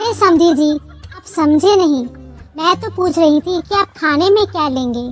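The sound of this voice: Faint music plays behind a woman doing a cartoonish character voice at an extremely high pitch. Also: moderate pace.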